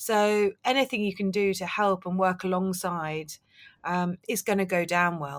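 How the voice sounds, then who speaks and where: A woman's medium-pitched voice in a southern English accent. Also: very clean recording, silent background. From London. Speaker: novelist and book publicist. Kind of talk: interview. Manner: hesitant.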